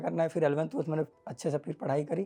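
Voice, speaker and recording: A man's dark, mellow tone. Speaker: exam topper. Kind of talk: interview.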